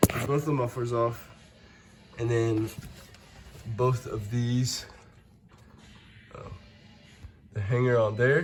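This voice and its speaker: Against background music, a man talks at a very slow pace with fairly even intonation. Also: medium pitch for a man. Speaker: car enthusiast. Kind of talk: casual how-to narration.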